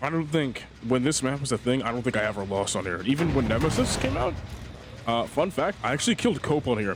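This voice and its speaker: Against noticeable background noise, a man with a medium pitch talks at a very fast pace. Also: lively intonation. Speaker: gaming youtuber. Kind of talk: gameplay commentary. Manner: casual.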